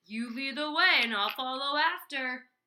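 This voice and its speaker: A female-sounding speaker puts on a character voice, pitched high and paced moderately. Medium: read story.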